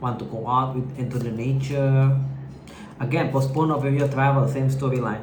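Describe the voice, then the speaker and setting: The speech moves at a moderate pace in a monotone, flat intonation. Noticeable background noise and audible room echo come through. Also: man. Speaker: tarot reader. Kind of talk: tarot reading to camera. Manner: hesitant, halting; filler-heavy, informal.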